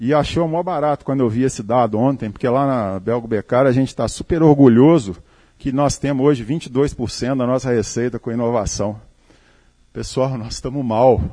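A man with a dark, mellow tone talks at a moderate pace, his medium pitch showing ordinary variation. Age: 50s. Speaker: company CEO. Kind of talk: talk to live audience. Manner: conversational, informal.

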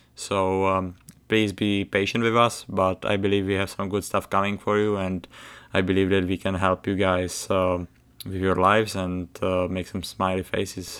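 A man with a Czech accent and a very deep, low pitch at a moderate pace, monotone and flat in intonation, on a very clean recording with a silent background. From Czech Republic. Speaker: college hockey player, podcast host. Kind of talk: casual chat. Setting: home. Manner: halting, with many fillers.

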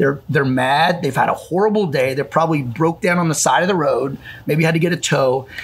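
A man with a fairly high pitch talks at a fairly quick pace. His loudness stays very even over noticeable background noise. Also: ordinary pitch variation. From Illinois, Calhoun County. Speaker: gym owner. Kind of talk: casual chat.

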